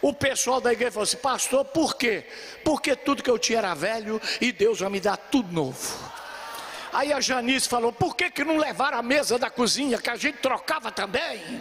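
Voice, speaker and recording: Noticeable background noise sits behind a man at a moderate pace. His pitch is extremely high and his tone animated. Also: ordinary pitch variation. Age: 70s. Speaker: pastor. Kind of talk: sermon.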